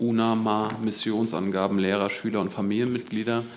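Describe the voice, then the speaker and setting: Over light background noise, a man with a fairly low pitch talks at a fairly quick pace in a monotone, flat intonation. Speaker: journalist. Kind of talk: press conference questioning. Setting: press conference room. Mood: pointed, critical questioning. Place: hall.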